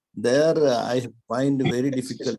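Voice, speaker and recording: A man speaks fairly slowly at a medium pitch, his tone dark and mellow. His intonation stays fairly even. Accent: Kerala. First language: Malayalam. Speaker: webinar participant. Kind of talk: webinar discussion.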